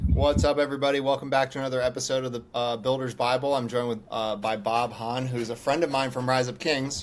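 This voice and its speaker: Over noticeable background noise, a man with a medium-pitched voice talks at a very fast pace with hardly any pauses and fairly even intonation. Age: 40s. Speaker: podcast host. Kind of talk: casual interview.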